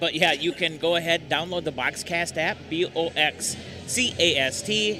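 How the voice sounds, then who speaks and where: A man talks with a fairly high voice and normal pitch movement while music plays behind him. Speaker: sports radio broadcaster. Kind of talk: live game broadcast banter. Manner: animated.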